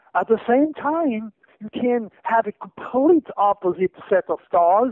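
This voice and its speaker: Lively intonation runs through this man's speech. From France. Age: 60s. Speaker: astrologer. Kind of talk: radio interview. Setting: radio studio.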